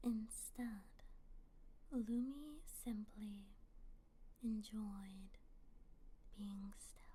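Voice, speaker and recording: Someone whispers at a very slow pace with long, frequent pauses. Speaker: ASMR creator. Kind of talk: read story. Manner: whispered.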